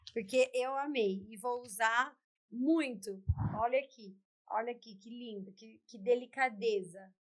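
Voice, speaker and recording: Big swings in loudness mark an animated tone delivered at a fairly slow pace with ordinary pitch variation. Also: woman, fairly high pitch for a woman. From São Paulo, Brazil. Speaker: talk show host. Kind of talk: interview. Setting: studio.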